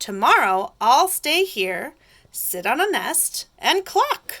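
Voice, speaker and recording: A woman uses a put-on character voice, high in pitch with very wide pitch swings, at a very slow pace. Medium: read story.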